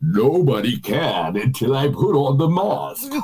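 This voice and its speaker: A man speaks fairly slowly in a put-on character voice, with clear background noise behind him. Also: medium pitch for a man. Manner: menacing.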